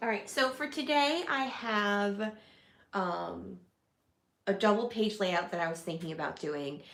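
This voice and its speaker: In a room with audible echo, a woman at medium pitch speaks at a fairly slow pace with very wide pitch swings and long, frequent pauses. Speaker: scrapbooking livestreamer. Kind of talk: casual livestream craft tutorial. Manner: casual, chatty.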